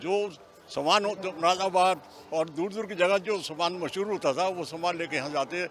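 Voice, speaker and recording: A man talks at a high pitch and a moderate pace, with fairly even intonation. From Meerut. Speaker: fair visitor. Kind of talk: vox pop interview.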